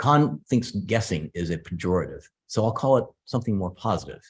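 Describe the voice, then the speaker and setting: Somewhat breathy and fairly low in pitch, a man with an American accent speaks with ordinary pitch variation on a very clean recording with a silent background. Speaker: computer scientist. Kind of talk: lecture. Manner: fast.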